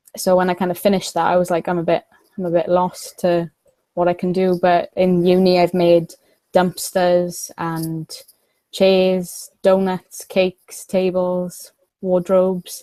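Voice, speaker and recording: A woman with a South Wales accent speaks fairly slowly at a medium pitch, in a dark, mellow tone. Her intonation is monotone and flat, and the sound is dry and close with no echo. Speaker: miniature prop maker. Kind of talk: podcast interview.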